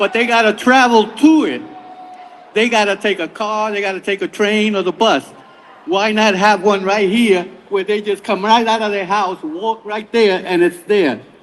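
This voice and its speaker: With a New York accent, a man speaks at a moderate pace and high pitch, with ordinary pitch variation and noticeable background noise. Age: 70s. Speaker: public commenter. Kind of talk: public hearing testimony. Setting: public hearing.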